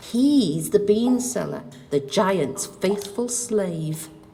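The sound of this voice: Putting on a character voice, a woman speaks very slowly at a medium pitch with lively intonation and vocal fry. Her tone is dark and mellow, with faint music in the background.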